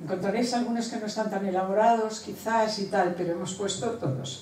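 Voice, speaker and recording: A woman's voice at a moderate pace with ordinary pitch variation, audible room echo and light background noise. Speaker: sister of the late author. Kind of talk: informal speech, hesitant. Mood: warm, emotional. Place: hall. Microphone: camera far.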